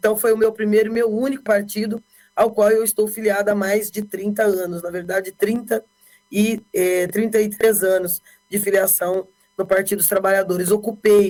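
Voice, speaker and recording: Medium-pitched woman in a flat monotone at a moderate pace, with music in the background. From Brazil, Bauru, São Paulo state. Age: 50s. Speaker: politician. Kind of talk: interview.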